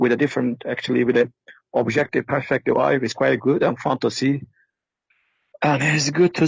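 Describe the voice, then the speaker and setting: With vocal fry and very even loudness, the speaker goes at a fairly quick pace broken by long, frequent pauses. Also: man. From Turkey. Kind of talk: casual call-in conversation. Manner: halting, frequent repetitions and fillers.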